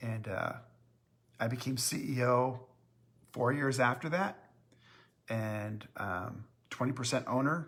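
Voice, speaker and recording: Long, frequent pauses break up this man's speech. His pace is very slow, with ordinary pitch variation. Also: medium pitch for a man. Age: 60s. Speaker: company owner hosting live Q&A. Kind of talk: live-stream Q&A chat. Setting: Facebook live stream. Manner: hesitant, many filler words.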